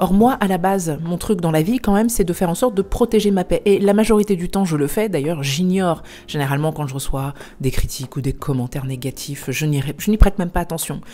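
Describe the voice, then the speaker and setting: A woman's fairly low voice, quick-paced, with lively intonation. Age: 40s. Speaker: life coach. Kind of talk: vlog talk to camera. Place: home room. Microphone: lapel.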